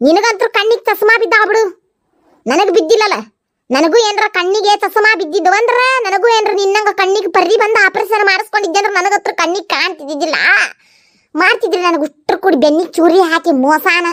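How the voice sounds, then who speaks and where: A cartoonish character voice from a woman, extremely high in pitch with ordinary pitch variation, very even loudness, at a moderate pace. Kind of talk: village comedy cartoon. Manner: complaining, sharp-tongued.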